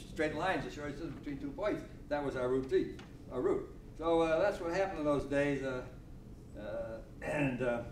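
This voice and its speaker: A man talks at a fairly high pitch with ordinary pitch variation. He leaves long, frequent pauses, and the room echo is audible. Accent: American. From Connecticut. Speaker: elderly local resident. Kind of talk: oral history talk. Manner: loud; fast.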